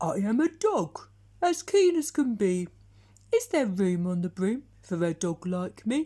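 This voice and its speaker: The speaker uses a put-on character voice with a fairly high pitch. Pitch swings are very wide, and the pace is fairly slow. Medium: read story. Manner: eager.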